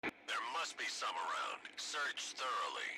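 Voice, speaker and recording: Using a raspy, put-on character voice at an extremely high pitch, a man speaks at a fairly slow pace. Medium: video game. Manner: curt, gruff, commanding.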